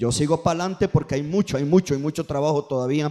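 The man's voice sits fairly high, with ordinary pitch variation and an animated tone. Noticeable background noise runs underneath. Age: 40s. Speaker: pastor. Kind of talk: sermon.

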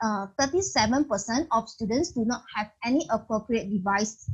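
Lively in intonation and fairly high in pitch, a woman speaks with a Malaysian accent. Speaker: podcast host. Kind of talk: moderated interview. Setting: video call.

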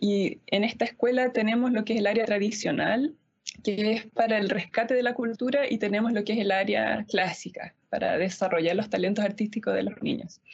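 A woman's somewhat breathy, fairly high voice at a moderate pace, with very even loudness. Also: fairly even intonation. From Easter Island (Rapa Nui), Chile. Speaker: pianist and music school director. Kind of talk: panel discussion.

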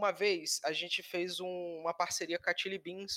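A man's high-pitched voice with a bright, sharp tone, fairly slow pace and fairly even intonation, in a dry, close sound with no echo. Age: 20s. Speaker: communications analyst, marketer. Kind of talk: casual chat.

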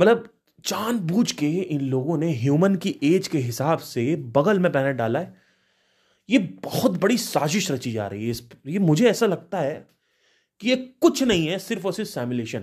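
Recorded very cleanly against a silent background, a man speaks at a high pitch with very wide pitch swings. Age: 30s. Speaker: spiritual podcaster. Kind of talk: solo monologue.

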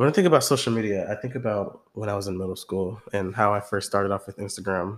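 A man with an American accent talks at a very fast pace, with hardly any pauses. His pitch is fairly low and his intonation fairly even. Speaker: podcast co-host, college student. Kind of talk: casual chat.

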